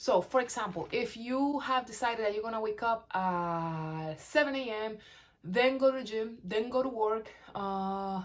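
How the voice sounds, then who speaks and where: A woman has an unremarkable speaking voice at a fairly high pitch. She keeps a moderate pace with ordinary pitch variation. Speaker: weight-loss vlogger. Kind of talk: casual talk-to-camera advice.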